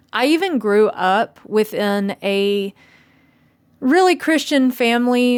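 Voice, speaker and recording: A woman in a Southern US accent on a very clean recording with a silent background. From US South, Tennessee. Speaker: video blogger. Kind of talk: personal monologue.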